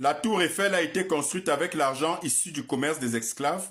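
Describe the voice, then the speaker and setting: This man talks at a fairly quick pace in a fairly high pitch. His pitch varies in an ordinary way. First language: African mother tongue, not French (speaking French). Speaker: political commentator. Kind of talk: scripted monologue. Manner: formal.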